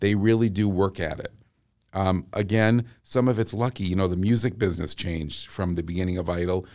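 Very deep and low, a man's voice comes with a Boston accent. He talks at a fairly quick pace. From Massachusetts, US. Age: 50s. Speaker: vocal coach. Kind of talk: casual chat. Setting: studio. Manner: animated.

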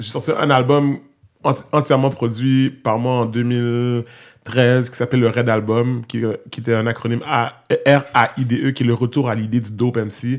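Over a very clean recording with a silent background, a man speaks with monotone, flat intonation. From Quebec, Montreal. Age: 30s. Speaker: hip-hop artist and youth worker. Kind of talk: casual interview.

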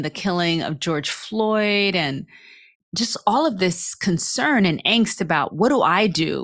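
Speaking at a fairly slow pace with lively intonation, a woman has an ordinary speaking voice at medium pitch, captured on a very clean recording with a silent background. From New York City. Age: 50s. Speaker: racial justice educator and author. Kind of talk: casual interview.

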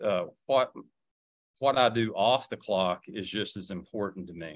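A man's medium-pitched voice with an Appalachian accent, at a fairly slow pace with long, frequent pauses, ordinary pitch variation and big swings in loudness. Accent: Appalachian Southern US. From Southwest Virginia (Wise County). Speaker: political candidate. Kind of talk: radio interview.

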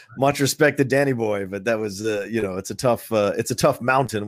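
On a very clean recording with a silent background and a dry, close sound with no echo, a man with an American accent talks at a fairly quick pace in an unremarkable speaking voice with ordinary pitch variation. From Virginia, US. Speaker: actor and podcaster. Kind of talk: casual interview.

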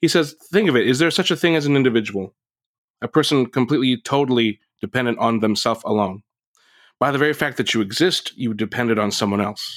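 The speaker talks at a very fast clip with an American accent. The sound is dry and close with no echo, on a very clean recording over a silent background. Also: man, medium pitch for a man, ordinary pitch variation. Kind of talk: casual podcast discussion.

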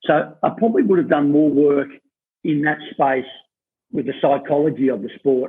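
Speaking in an Australian accent, a man uses a fairly high pitch. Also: ordinary pitch variation, moderate pace. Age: 50s. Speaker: athletics coach. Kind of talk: interview. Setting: office. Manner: hesitant, many fillers.

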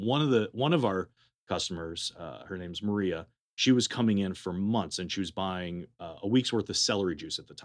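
A man with an American accent and an unremarkable speaking voice talks at a fairly quick pace in a fairly low pitch, with lively intonation and big swings in loudness, on a very clean recording with a silent background. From California (Berkeley). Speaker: juice bar owner. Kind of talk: casual interview.

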